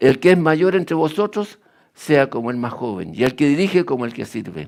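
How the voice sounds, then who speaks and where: In a very clean recording with a silent background, a man with fairly high pitch talks at a moderate pace, his pitch swinging very widely. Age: 80s+. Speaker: lay preacher. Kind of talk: sermon.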